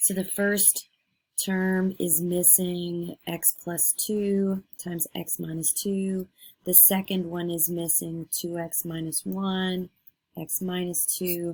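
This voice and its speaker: At a very slow pace, a woman speaks in a fairly low, somewhat breathy voice with monotone, flat intonation. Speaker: math teacher. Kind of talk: lecture.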